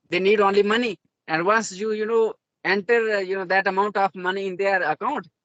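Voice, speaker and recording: A man speaks in an Indian accent at a high pitch. His pace is fairly quick and his intonation fairly even. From India, Jammu region (Dogri-speaking village). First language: Dogri. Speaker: self-taught English learner. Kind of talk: interview conversation. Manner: halting, many fillers.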